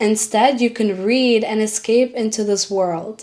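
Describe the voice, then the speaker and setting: With noticeable background noise, a woman talks at a fairly high pitch using ordinary pitch variation. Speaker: book content creator. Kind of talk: casual talk to camera. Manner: gentle, relaxed.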